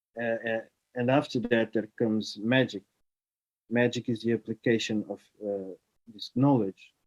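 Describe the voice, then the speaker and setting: A man's dark, mellow tone in a flat monotone, with a dry, close sound and no echo. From Portugal. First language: Portuguese. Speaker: writer and artist. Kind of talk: online talk. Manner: halting, many fillers.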